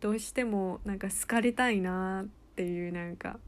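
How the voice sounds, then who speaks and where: This is a woman with an ordinary speaking voice at medium pitch. Her intonation stays fairly even. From United States. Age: 20s. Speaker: podcast co-host, university student. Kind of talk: casual chat.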